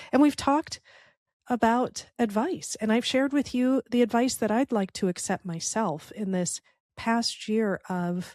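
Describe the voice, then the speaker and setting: A woman's fairly high, dark and mellow voice with a Chicago accent and lively intonation, very slow in pace, dry and close with no echo over a quiet background. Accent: American (Chicago) English. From US Midwest, Chicago. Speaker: podcast host and entrepreneur. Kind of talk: reflective podcast monologue.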